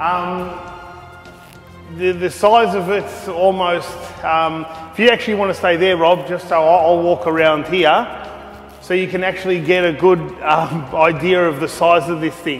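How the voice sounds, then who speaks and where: A man's high-pitched voice at a fairly slow pace, fairly even intonation, long and frequent pauses, and music in the background. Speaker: retro gaming vlogger. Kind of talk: casual vlog walkthrough. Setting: unfinished home games room. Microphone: echo in room.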